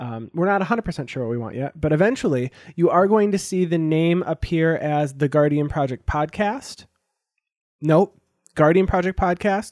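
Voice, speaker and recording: A man with a plain, everyday voice and fairly high pitch speaks at a moderate pace with lively intonation, in a very clean recording with a silent background and a dry, close sound with no echo. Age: 20s. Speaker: podcast host. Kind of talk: casual chat.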